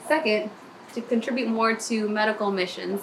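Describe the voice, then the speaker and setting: A woman with an American accent speaks in an upbeat tone at a moderate pace, with noticeable background noise. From Maryland, US. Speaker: nurse. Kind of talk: video application pitch. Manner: casual, upbeat.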